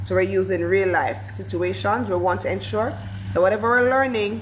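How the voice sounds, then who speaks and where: Background noise is noticeable, and room echo can be heard. Through it, a woman talks fairly quickly. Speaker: teacher trainer. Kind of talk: workshop lecture. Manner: fast.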